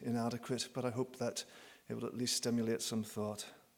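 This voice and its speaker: In a Northern Irish accent, a man speaks at a medium pitch and a fairly quick pace. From Northern Ireland. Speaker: professor. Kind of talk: conference talk.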